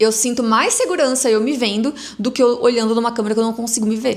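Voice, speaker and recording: The pace runs fairly quick, and the intonation stays fairly even. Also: woman. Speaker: entrepreneur and influencer. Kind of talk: casual vlog monologue. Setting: recording at home on a camera. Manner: stammering.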